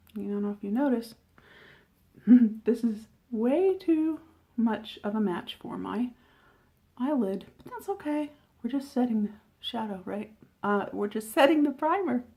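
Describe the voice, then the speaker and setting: A woman speaks at a fairly slow pace with long, frequent pauses. Her pitch is fairly high and her intonation lively. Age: 50s. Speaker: beauty reviewer. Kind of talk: makeup tutorial talk to camera. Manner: casual, chatty.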